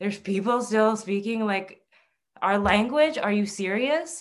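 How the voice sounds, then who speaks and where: With a Canadian accent, the speaker keeps a moderate pace and ordinary pitch variation. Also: woman. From Northern Ontario, Canada (Anishinaabe). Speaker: TV host, producer and herbalist. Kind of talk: casual interview chat. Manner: halting with many repeats.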